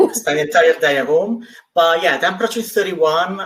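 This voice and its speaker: In an Italian accent, a man speaks with a high pitch. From Italy. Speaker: travel industry representative. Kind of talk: live webinar interview.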